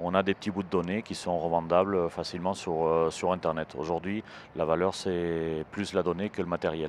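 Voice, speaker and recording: In a southern French accent, a man speaks at a fairly slow pace with a very deep, low pitch, a dry sound with no echo, and light background noise. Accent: southern French, singsong. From southern France. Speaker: cybersecurity entrepreneur; guest. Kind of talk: interview. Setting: trade show stage. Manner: hesitant, many fillers. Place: hall. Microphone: handheld.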